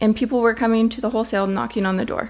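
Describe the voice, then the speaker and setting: Talking at a very fast pace, a woman uses a somewhat breathy voice with fairly high pitch. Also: very clean recording, silent background. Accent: American. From Las Vegas, Nevada. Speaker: donut shop owner. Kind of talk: casual interview chat.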